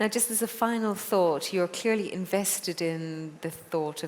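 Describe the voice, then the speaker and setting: A woman speaks with an Irish accent at a fairly low pitch. Noticeable background noise runs behind her. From Ireland. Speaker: TV presenter and moderator. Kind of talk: interview moderation.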